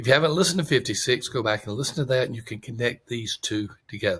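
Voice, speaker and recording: A man with a Southern US accent, medium pitch and ordinary pitch variation, on a very clean recording with a silent background. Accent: Southern drawl. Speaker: podcast host. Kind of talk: podcast monologue.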